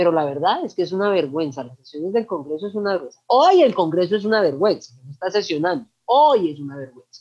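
A woman with a medium pitch talks very fast. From Colombia, Manizales. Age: 40s. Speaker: LGBTI activist. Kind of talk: interview. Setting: video call.

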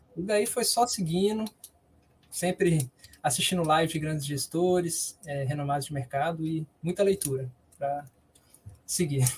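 A man speaks at a fairly slow pace with long, frequent pauses. His pitch is fairly high, with ordinary variation. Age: 20s. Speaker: university student and investment consultant. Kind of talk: interview answers, explanatory.

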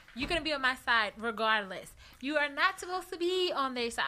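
Projecting loudly at a fairly quick pace, a woman uses a high, bright, sharp voice with lively intonation. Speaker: podcast co-host. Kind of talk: casual chat.

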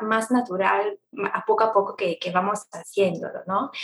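With an Italian accent, a woman speaks fairly slowly at a fairly high pitch and ordinary pitch variation. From Italy. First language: Italian (speaking Spanish). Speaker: travel blogger, economist, mother. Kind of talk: casual interview chat. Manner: hesitant, many fillers.

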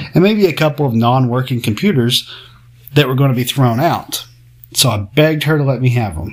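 A man speaks in a plain, everyday voice at medium pitch and a fairly quick pace. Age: 30s. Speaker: podcast host. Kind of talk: casual monologue.

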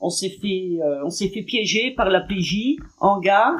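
A woman's medium-pitched voice with ordinary pitch variation, at a very slow pace. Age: 60s. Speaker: former prisoner. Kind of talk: testimony. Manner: halting.

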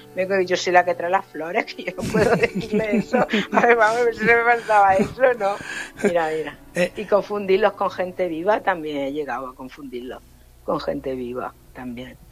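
Over noticeable background noise, a woman with a medium pitch speaks at a moderate pace with very wide pitch swings and big swings in loudness. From Granada, Andalusia. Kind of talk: casual interview.

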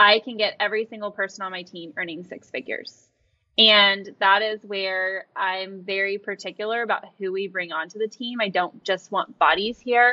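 In a normal speaking voice with an American accent, the speaker talks at a moderate pace with fairly even intonation and big swings in loudness. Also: woman, medium pitch for a woman. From Oklahoma City, Oklahoma. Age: 30s. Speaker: real estate team owner. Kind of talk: interview.

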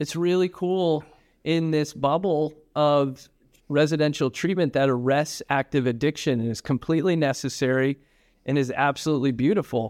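With an American accent, a man uses a normal speaking voice and ordinary pitch variation at a moderate pace. The sound is dry and close, with no echo. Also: fairly high pitch for a man. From upstate New York. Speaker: addiction treatment executive. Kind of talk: interview.

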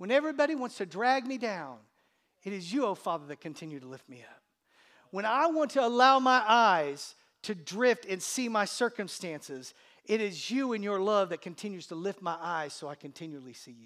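On a very clean recording with a silent background, a man speaks at a moderate pace with a high pitch and very wide pitch swings. His tone is warm yet bright and sharp, with big swings in loudness. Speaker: pastor. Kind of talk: sermon. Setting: church. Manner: conversational, warm, humorous; fervent, pleading, rising intensity in prayer.

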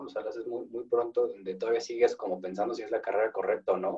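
A man with a Mexican accent talks at a very fast pace. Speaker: podcast host. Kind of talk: interview.

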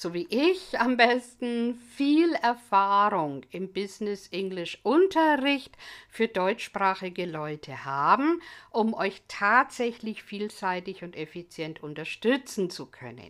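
Very wide pitch swings and big swings in loudness mark this very slow delivery, on a very clean recording with a silent background. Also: woman. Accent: English. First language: English (speaking German). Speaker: English language teacher. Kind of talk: educational monologue.

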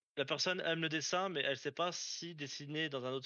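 The man has a normal speaking voice. His intonation stays fairly even. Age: 20s. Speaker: aerospace factory worker. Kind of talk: casual interview.

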